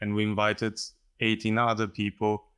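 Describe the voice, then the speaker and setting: Over a very clean recording with a silent background, a man has a fairly low pitch and a bright, sharp tone. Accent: Slovenian. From Slovenia. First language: Slovenian. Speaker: painter. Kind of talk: interview conversation. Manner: halting.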